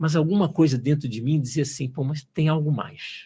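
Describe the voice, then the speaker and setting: The voice is somewhat breathy, with a dark, mellow tone and ordinary pitch variation. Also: man. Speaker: engineer turned entrepreneur, logosophy student. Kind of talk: podcast interview. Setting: studio. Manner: hesitant, repeats words.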